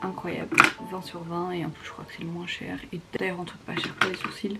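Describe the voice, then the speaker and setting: A woman speaks in a flat monotone amid noticeable background noise and audible room echo. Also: fairly low pitch for a woman, moderate pace. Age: 20s. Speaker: beauty vlogger. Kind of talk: casual vlog narration. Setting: at home in bedroom, late night. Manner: casual, filler-heavy; whispering in part.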